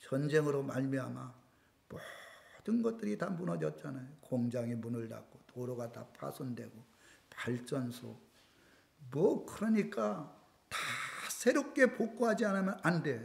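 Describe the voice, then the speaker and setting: Amid audible room echo, a man with a fairly high pitch speaks very slowly in a somewhat breathy voice, with very wide pitch swings and big swings in loudness. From South Korea. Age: 60s. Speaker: pastor. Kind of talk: sermon.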